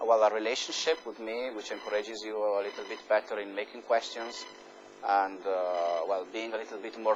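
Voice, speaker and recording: This man has an Italian accent and a medium pitch. He speaks at a moderate pace. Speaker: university professor. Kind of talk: lecture. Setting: lecture hall with students. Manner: hesitant, many fillers.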